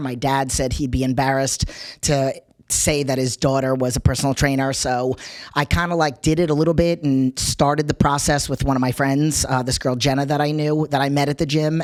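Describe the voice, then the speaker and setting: A woman with a New York accent talks at a fairly quick pace, her very deep, low voice monotone and flat. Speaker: personal trainer. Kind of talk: interview.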